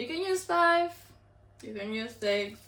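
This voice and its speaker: A woman with a fairly high pitch and a bright, sharp tone speaks at a fairly slow pace in an animated tone, with audible room echo. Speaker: cooking youtuber. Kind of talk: casual cooking tutorial.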